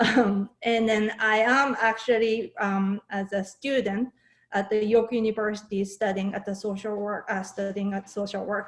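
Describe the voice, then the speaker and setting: This woman speaks with a Japanese accent at a fairly high pitch. Her intonation is monotone and flat, her pace moderate. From Japan, Saitama. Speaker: fermented food maker and workshop instructor. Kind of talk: online workshop presentation. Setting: video call.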